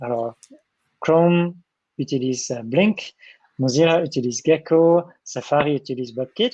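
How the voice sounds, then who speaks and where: Speaking at a fairly slow pace with long, frequent pauses, a man with a German accent has a fairly high pitch and ordinary pitch variation. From Germany. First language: German (speaking French). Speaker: software developer advocate. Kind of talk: Q&A session in a tech talk. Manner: halting, many hesitations.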